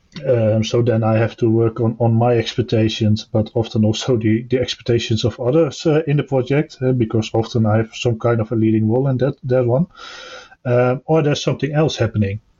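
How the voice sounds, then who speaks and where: Somewhat breathy and dark, mellow in tone, a man talks fairly quickly at medium pitch with fairly even intonation and very even loudness. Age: 30s. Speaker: software tester. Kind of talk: casual panel discussion. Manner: halting, many fillers.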